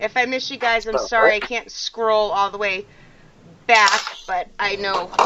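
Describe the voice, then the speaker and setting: Speaking in an American accent, a woman uses a fairly high pitch with ordinary pitch variation. Her pace is fairly slow. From Massachusetts, Malden near Boston. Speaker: paranormal podcast host. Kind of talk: casual chat.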